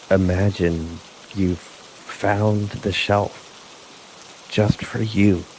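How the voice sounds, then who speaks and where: Soft-spoken and fairly low-pitched, a man talks at a very slow pace in a monotone, flat intonation over noticeable background noise. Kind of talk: sleep story. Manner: slow, soft-spoken.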